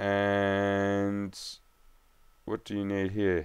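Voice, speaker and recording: A man's fairly low voice is captured in a very clean recording against a silent background. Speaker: gaming youtuber. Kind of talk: gameplay commentary. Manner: casual.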